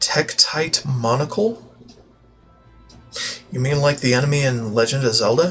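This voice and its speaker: Music plays in the background as the speaker talks at a moderate pace with lively intonation and long, frequent pauses. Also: man, fairly high pitch for a man. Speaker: gaming streamer. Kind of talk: casual gameplay commentary.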